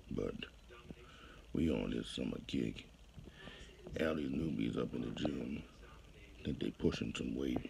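The voice is dark and mellow with vocal fry, moving at a fairly slow pace with ordinary pitch variation. Background noise is noticeable. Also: man, very deep, low pitch for a man. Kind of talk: casual vlog chat. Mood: boastful, confident gym talk. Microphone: earbuds.

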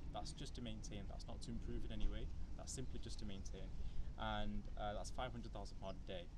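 Loud background noise behind a man speaking at a very fast pace. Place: street. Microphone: camera far.

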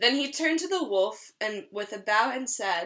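A woman's bright, sharp, fairly high voice at a moderate pace with lively intonation.

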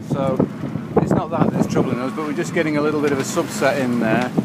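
A man's voice with ordinary pitch variation against loud background noise. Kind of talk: casual vlog chat. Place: boat. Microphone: phone near.

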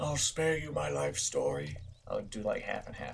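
Fairly high male pitch in a put-on character voice from a man. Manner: mix of old-man and respectable tone.

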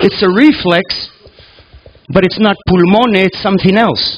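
A man's high-pitched voice at a very slow pace over light background noise. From Canada, raised in Greece (Sparta); Canada. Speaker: reflexologist and lecturer; lecturer. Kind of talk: lecture. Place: hall. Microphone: headset.

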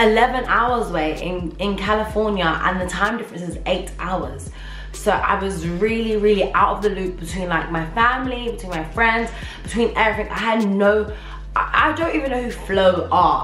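A woman speaks with ordinary pitch variation amid audible room echo. Faint music plays in the background. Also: moderate pace. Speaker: vlogger. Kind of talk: casual vlog chat. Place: home room. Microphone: camera far.

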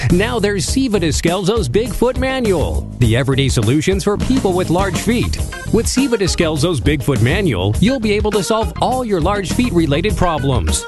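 A man's high-pitched, upbeat voice at a moderate pace, with very wide pitch swings, very even loudness and hardly any pauses, over music in the background. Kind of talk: infomercial spoof read. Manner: upbeat, salesy.

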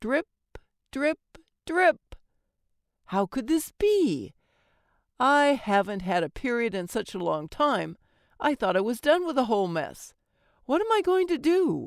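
On a very clean recording with a silent background, a woman with a high pitch makes very wide pitch swings and leaves long, frequent pauses. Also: fairly slow pace. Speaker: audiobook narrator and voice actor. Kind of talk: audiobook narration of a humorous first-person story. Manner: warm, confiding tone addressing listeners as dearies.

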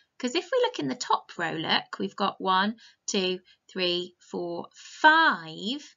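The setting behind her is quiet. A woman talks. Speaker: teacher reading a story. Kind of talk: storytime lesson for young children. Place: home room. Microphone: webcam.

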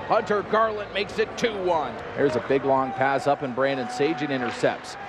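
A man's voice amid noticeable background noise. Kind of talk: live commentary. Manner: punchy, rising calls on each goal.

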